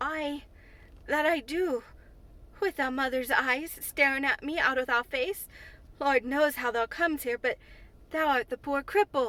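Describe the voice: A woman's shaky, put-on character voice, high in pitch, at a moderate pace broken by long, frequent pauses.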